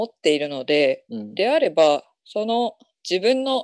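A woman speaks at a medium pitch and a fairly slow pace, her pitch swinging very widely. The sound is dry and close, with no echo. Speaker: indie essay writer. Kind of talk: casual chat.

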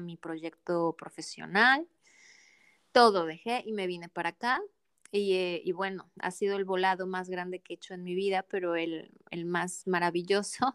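A woman at a fairly slow pace with fairly even intonation, in a dry, close sound with no echo and a very clean recording against a silent background. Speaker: transpersonal coach. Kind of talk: interview conversation. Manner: calm, soothing.

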